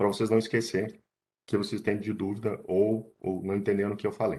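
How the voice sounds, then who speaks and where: In a quiet setting, the man talks with a fairly low pitch. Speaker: environmental consultant and biologist. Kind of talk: online lecture. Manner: hesitant with fillers.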